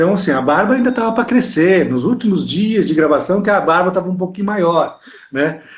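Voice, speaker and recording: A man speaks with a high pitch. His pace is moderate and his intonation lively. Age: 60s. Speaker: actor. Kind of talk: interview.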